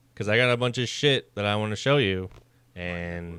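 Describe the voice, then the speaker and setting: A man with a plain, everyday voice speaks at a fairly low pitch with ordinary pitch variation. The recording is very clean, with a silent background. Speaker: gaming co-host. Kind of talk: casual chat.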